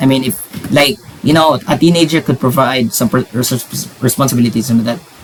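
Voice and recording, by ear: A man puts on a character voice at medium pitch, mumbling. He talks fairly quickly.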